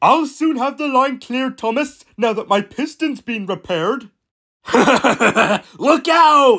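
In a put-on, high-pitched character voice, the speaker goes at a fairly slow pace with long, frequent pauses, recorded very cleanly with a silent background. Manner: brash, bossy.

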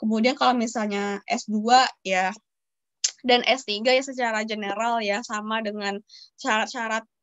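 A woman's fairly high voice at a fairly slow pace, dry with no echo, over a quiet background. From Padang, West Sumatra, Indonesia; West Sumatra, Indonesia. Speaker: university student; guest. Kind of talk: webinar talk and Q&A. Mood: friendly, relaxed. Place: home room. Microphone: video call.

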